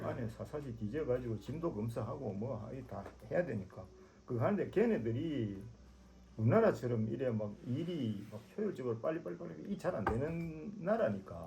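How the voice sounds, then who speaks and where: With noticeable background noise, a man speaks at a moderate pace and a medium pitch. His pitch swings very widely. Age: 70s. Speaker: motorcycle traveler. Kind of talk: casual conversation.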